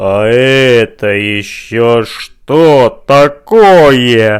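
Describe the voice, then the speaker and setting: A man puts on a menacing, creaky character voice at a medium pitch. He speaks at a very slow pace with ordinary pitch variation. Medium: read story. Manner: menacing, repetitive.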